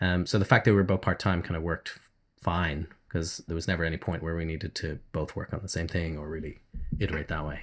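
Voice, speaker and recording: Speaking very fast in an Irish accent, a man with a very deep, low voice keeps a monotone, flat intonation in a very clean recording with a silent background. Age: 40s. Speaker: indie game developer. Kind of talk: interview.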